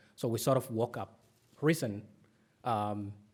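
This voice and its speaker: A man with a Somali accent speaks at a moderate pace and medium pitch on a very clean recording with a silent background. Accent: Somali accent, P and B sound alike. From Somalia. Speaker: author. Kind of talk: conference talk. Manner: many fillers (um, uh).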